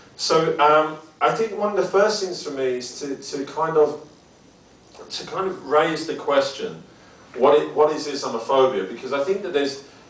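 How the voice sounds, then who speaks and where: A man's fairly high voice comes through noticeable background noise and audible room echo. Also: ordinary pitch variation, moderate pace. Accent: strong British. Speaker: academic researcher. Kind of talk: lecture. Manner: halting, many fillers and repetitions.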